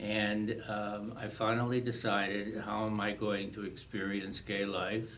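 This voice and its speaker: Over noticeable background noise and audible room echo, a man with fairly low pitch speaks in a monotone, flat intonation at a fairly slow pace. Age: 70s. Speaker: retired teacher sharing life story. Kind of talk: personal testimony. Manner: hesitant, many fillers.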